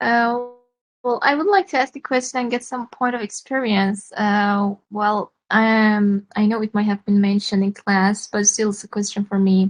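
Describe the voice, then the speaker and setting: A woman with a somewhat breathy, fairly high voice talks at a moderate pace with fairly even intonation. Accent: non-native. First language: not English. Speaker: English learner. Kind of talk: question in online class. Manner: halting.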